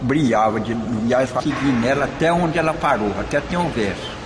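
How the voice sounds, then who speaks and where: A man speaks at a moderate pace in a medium pitch, with noticeable background noise and audible room echo. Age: 70s. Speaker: folk religious group leader. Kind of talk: oral history interview.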